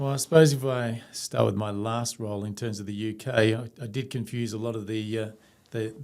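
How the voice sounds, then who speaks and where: A man at a fairly quick pace with fairly even intonation, in a very clean recording with a silent background. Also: medium pitch for a man. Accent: Australian. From Australia. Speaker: company CEO. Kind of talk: interview.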